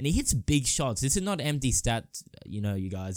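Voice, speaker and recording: On a very clean recording with a silent background, a man with an Australian accent talks in a medium pitch at a moderate pace. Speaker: sports podcaster. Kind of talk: casual solo commentary.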